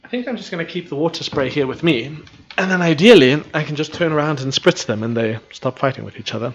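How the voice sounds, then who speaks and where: With noticeable background noise behind him, a man talks at a very fast pace in a fairly high pitch. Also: lively intonation. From South Africa. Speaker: live streamer and gamer. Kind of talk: casual live-stream gameplay chat.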